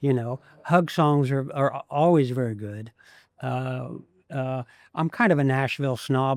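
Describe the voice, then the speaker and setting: In an American accent, a man speaks at medium pitch with ordinary pitch variation. The recording is very clean and dry, close with no echo and a silent background. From Ohio, US Midwest. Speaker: songwriter. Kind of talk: interview. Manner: halting; self-conscious about speaking voice.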